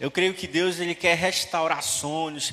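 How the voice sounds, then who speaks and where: With noticeable background noise behind him, a man with a high pitch speaks in an animated tone at a fairly slow pace. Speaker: preacher. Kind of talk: sermon. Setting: church. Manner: animated, fervent, preaching with rhythmic repetition and exhortation.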